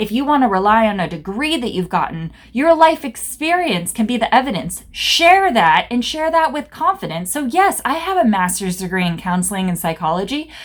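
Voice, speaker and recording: Loud and animated, a woman speaks at a moderate pace with very wide pitch swings and hardly any pauses. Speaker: business coach and therapist. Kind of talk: motivational talk to camera. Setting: office.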